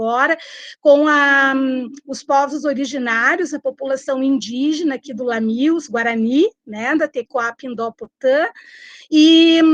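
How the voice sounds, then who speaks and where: Against a quiet background, a woman with a high pitch speaks at a fairly slow pace with ordinary pitch variation, in a dry, close sound with no echo. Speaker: popular educator. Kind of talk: online discussion.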